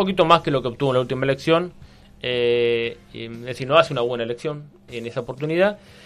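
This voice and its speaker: Talking at a very fast pace, a man with a medium pitch and ordinary pitch variation shows big swings in loudness. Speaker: historian and columnist. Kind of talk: radio column, casual historical explanation. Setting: radio studio. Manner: hesitant, many fillers.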